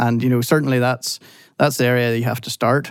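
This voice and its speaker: A man talks at a very fast pace in a Northern Irish accent, his pitch medium and his intonation flat and monotone. The recording is very clean, with a silent background. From Northern Ireland. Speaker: technical director, engineer. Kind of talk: interview, technical discussion.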